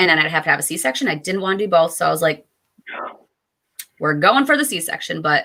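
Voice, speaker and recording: With a western New York accent, a woman speaks in an animated, bright, sharp tone full of very wide pitch swings. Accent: western New York (Inland North) American. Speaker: writing podcast host and mother. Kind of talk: casual chat. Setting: live stream video call.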